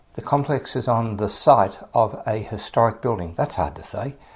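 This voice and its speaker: A man speaks with an Australian accent at a medium pitch and ordinary pitch variation. The recording is very clean, with a silent background. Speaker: podcast host. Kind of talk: podcast intro monologue. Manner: casual, friendly.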